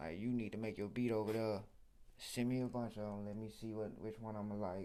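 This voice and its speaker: A man with an American accent speaks at a fairly quick pace in a fairly low, dark, mellow voice. His intonation is monotone and flat, and there is audible room echo. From Arkansas, near Memphis. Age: 20s. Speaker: rapper. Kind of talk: interview. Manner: casual, slangy.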